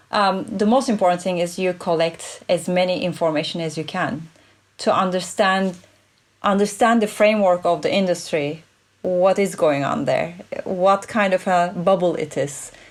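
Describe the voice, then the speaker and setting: A woman with a non-native accent at a moderate pace and medium pitch, in a very clean recording with a silent background. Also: ordinary pitch variation. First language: not English. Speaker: play expert and futurist consultant. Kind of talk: interview conversation.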